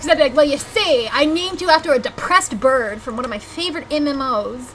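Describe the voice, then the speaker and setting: A woman speaks with a Southern US accent in an animated tone. Her pitch is high, and there is noticeable background noise. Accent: Southern US accent, noticeable on some words. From US South. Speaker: video game streamer. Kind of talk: live gameplay stream chat.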